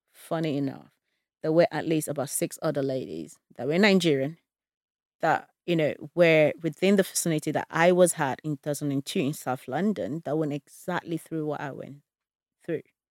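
At a moderate pace and with fairly even intonation, a woman talks in a very deep, low pitch, the sound dry and close with no echo on a very clean recording with a silent background. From Nigeria (Ibadan, Oyo State). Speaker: survivor of modern slavery. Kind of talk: testimony.

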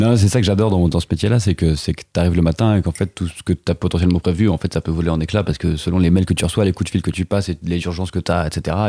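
A man with a very deep, low pitch and a dark, mellow tone talks at a very fast pace with hardly any pauses and fairly even intonation. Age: 20s. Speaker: animation production assistant. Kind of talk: casual interview chat.

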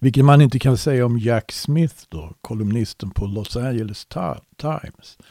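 Here a man speaks at a medium pitch with ordinary pitch variation and a moderate pace. His tone is dark and mellow, and the sound is dry and close, with no echo. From Sweden. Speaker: Bible teacher. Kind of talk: Bible study conversation. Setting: internet call.

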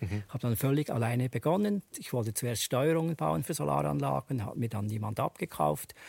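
Recorded with a dry, close sound and no echo, a man speaks at a medium pitch in a somewhat breathy voice. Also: very clean recording, silent background. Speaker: solar company founder. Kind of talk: panel discussion.

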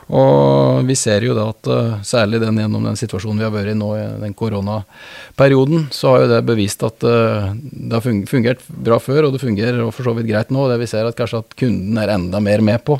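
Recorded dry and close with no echo, a man speaks at a moderate pace in a fairly low pitch, with hardly any pauses. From Norway, Østre Toten (Oppland). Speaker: business partner in mergers and acquisitions. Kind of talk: interview. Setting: studio. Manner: halting, frequent repetitions.

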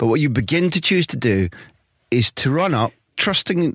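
The speaker has a Scottish accent and lively intonation. The recording is very clean, with a silent background. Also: man. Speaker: football journalist and podcast host. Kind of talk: scripted narration; interview.

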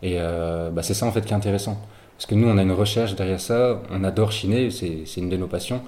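A man with a fairly low, dark, mellow tone speaks at a very fast pace and fairly even intonation, with audible room echo around him. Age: 21. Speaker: student entrepreneur. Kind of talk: interview. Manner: halting.

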